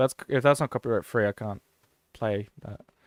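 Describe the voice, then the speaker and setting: Recorded dry and close with no echo, a man talks at a moderate pace over a silent background in a very clean recording. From Australia. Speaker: gaming streamer. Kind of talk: casual live-stream commentary. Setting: live stream.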